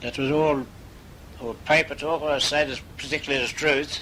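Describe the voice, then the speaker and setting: A man's fairly quick speech against noticeable background noise. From Malta. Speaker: migrant. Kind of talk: interview answer. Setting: home, cassette recording.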